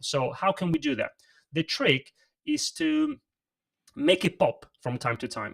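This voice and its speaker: Moderate in pace, a man is speaking. The sound is dry and close with no echo. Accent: Italian. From Italy. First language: Italian. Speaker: presentation coach. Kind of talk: livestream interview. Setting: livestream. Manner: emphatic.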